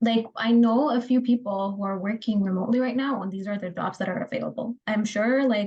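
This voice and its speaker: A dark, mellow, somewhat breathy tone at a fairly quick pace, with fairly even intonation and hardly any pauses. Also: woman, fairly high pitch for a woman. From Ethiopia. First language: Adarinya (Harari). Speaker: job candidate. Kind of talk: job interview.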